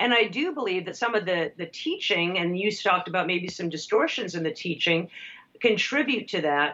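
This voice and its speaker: This woman has a plain, everyday voice at a medium pitch. She speaks at a moderate pace with lively intonation. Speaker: author and lecturer. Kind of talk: casual chat.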